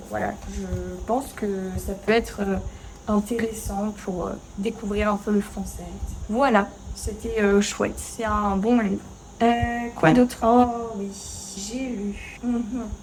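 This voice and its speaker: Over noticeable background noise, a woman at medium pitch speaks very slowly in a monotone, flat intonation with long, frequent pauses. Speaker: French teacher. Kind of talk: casual talk to camera while cooking. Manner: natural pace, conversational, many fillers.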